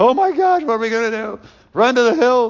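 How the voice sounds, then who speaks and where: Using a put-on character voice, a man talks at a fairly quick pace with extremely high pitch and lively intonation. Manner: mock panic.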